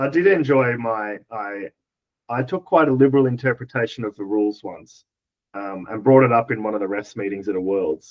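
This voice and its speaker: Fairly quick speech from a man in an Australian accent. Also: medium pitch for a man, ordinary pitch variation. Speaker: dodgeball player and coach. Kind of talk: casual podcast chat.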